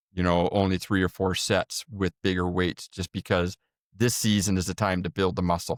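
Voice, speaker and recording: A man with a Canadian accent speaks at a moderate pace in a very deep, low pitch with monotone, flat intonation. The sound is dry and close with no echo, a very clean recording against a silent background. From Canada. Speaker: endurance coach. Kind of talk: casual chat.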